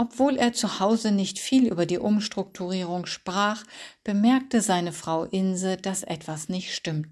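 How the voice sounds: The pitch of this natural reading voice shifts in an ordinary way.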